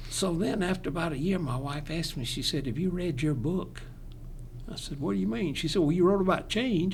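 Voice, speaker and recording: Speaking fairly quickly with lively intonation and vocal fry, a man with a Southern accent uses a fairly high pitch in a room with audible echo. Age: 80s+. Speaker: retired pastor. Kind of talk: casual chat.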